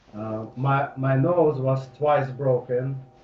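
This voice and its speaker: The man's pitch sits at a medium level. His intonation is fairly even. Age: 30s. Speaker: hypnosis client. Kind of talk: personal testimony. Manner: halting.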